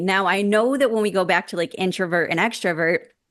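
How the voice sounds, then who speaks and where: A woman's animated, medium-pitched voice at a fairly quick pace, with ordinary pitch variation, over a quiet background. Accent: American. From upstate New York. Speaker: life transition coach and interviewer. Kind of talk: casual interview chat. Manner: loud.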